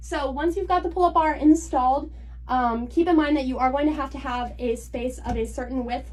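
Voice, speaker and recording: A woman's voice comes with audible room echo. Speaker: content creator. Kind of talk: tutorial. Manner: fast.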